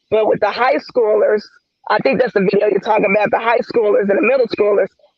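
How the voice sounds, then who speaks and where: Speaking high for a man, he lets his pitch vary in a normal way. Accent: American. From US South, Memphis, Tennessee. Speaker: reptile breeder and educator. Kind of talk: casual chat.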